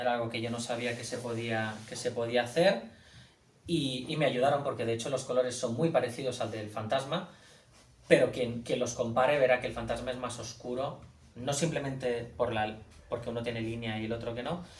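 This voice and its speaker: A man's medium-pitched voice at a fairly quick pace, fairly even in intonation, with audible room echo and noticeable background noise. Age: young. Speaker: comic artist and author. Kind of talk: book presentation talk. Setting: bookshop event with audience. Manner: halting, many repetitions.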